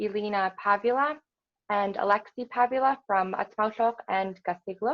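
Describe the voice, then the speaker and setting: Fairly slow and fairly even in intonation, with an Alaskan accent. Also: woman. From southwestern Alaska, Bethel area, Yup'ik. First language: Yup'ik. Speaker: yoga teacher. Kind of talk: personal talk.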